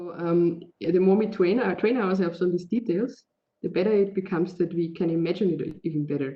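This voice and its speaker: A woman with a German accent, fairly low pitch, ordinary pitch variation and a fairly quick pace. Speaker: digital media artist. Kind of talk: interview. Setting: video call. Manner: halting.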